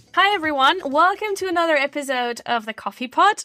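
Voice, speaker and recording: Raising and projecting her voice, a woman speaks with lively intonation and a bright, sharp tone in a dry, close sound with no echo. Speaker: podcast host. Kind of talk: interview. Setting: remote call.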